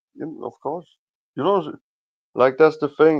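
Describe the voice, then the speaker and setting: Ordinary pitch variation comes through in speech delivered with a non-native accent. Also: man. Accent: foreign. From Denmark. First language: Danish. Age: 20s. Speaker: livestream guest. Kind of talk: casual chat. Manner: halting.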